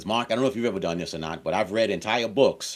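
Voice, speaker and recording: There is vocal fry in this man's voice as his pitch swings very widely. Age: 60s. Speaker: author and course creator. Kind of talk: interview.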